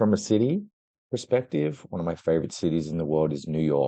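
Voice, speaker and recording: A man speaks in a very deep, low pitch with an Australian accent. His pace is fairly quick and his pitch variation ordinary. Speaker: travel industry executive. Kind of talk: interview.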